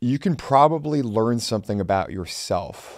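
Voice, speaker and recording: A man with lively intonation, against a quiet background. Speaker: channel host, lawyer. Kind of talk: tribute commentary to camera. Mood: solemn, reflective. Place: studio. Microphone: studio mic.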